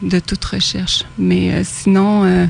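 A woman speaks over noticeable background noise. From Quebec, Chaudière-Appalaches. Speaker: spiritual awakening speaker. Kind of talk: radio interview. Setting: radio studio.

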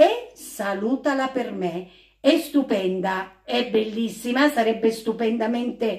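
A woman's voice at a very slow pace, with ordinary pitch variation and a quiet background. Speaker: home singer vlogger. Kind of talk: casual vlog chat. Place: home room.

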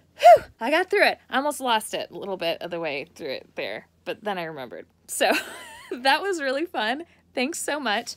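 Against a quiet background, a woman speaks at a moderate pace in an upbeat tone, with big swings in loudness and a dry sound with no echo. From United States. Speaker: voice actor. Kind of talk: casual personalized video message. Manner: upbeat, friendly. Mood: warm, cheerful, friendly. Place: home room. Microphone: phone near.

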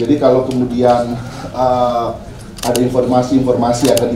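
Audible room echo surrounds a man's voice, along with noticeable background noise. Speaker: event moderator. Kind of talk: speaker introduction. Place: hall.

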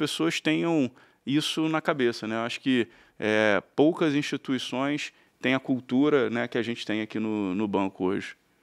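There is a man talking at a moderate pace over a quiet background. His intonation is lively. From Rio de Janeiro, Brazil (Tijuca, north zone); Rio de Janeiro. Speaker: banker, investment bank partner; interview guest. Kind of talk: interview. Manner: halting, many fillers. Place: studio. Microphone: studio mic.

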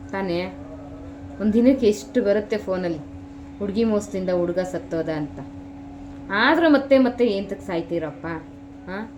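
Noticeable background noise sits behind a woman with a medium pitch and lively intonation. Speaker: village vlogger. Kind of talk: casual vlog monologue. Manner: emphatic.

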